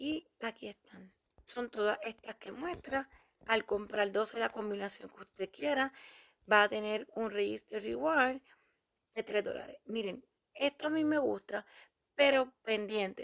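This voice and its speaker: A woman with a fairly high pitch and ordinary pitch variation speaks at a fairly slow pace, leaving long, frequent pauses. Her loudness swings widely, and the sound is dry and close with no echo. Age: 40s. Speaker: YouTuber, couponing channel host. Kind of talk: shopping deals tutorial.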